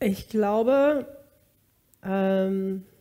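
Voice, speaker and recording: A woman's dark, mellow tone with ordinary pitch variation, against a quiet background. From US West Coast (Bakersfield, California); California. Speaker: singer; interview guest. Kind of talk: interview, personal testimony. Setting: studio. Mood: reflective, personal story. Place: kitchen.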